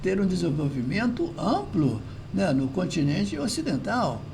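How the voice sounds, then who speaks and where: A man's voice with very wide pitch swings, audible room echo and noticeable background noise. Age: 70s. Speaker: philosophy commentator. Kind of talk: video monologue commentary. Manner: hesitant, repetitive fillers.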